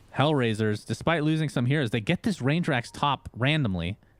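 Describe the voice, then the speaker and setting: Lively intonation and an animated tone mark this man's fairly high-pitched voice. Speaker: esports caster. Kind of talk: live commentary. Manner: fast.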